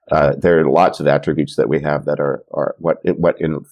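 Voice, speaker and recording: The man here talks at a fairly quick pace. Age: 60s. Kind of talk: interview conversation. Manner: halting, many fillers and repetitions.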